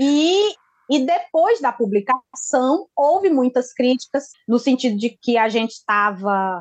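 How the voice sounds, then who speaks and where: A woman with a high pitch and very wide pitch swings speaks at a fairly slow pace, her loudness very even, in a dry, close sound with no echo. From Brazilian Northeast (Ceará, Pernambuco, Piauí). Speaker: journalist. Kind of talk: interview. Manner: halting.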